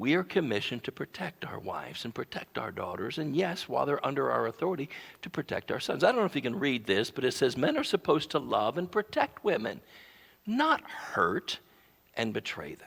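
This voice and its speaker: Fairly quick and fairly high, a man's voice carries vocal fry and very wide pitch swings. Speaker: pastor. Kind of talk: sermon.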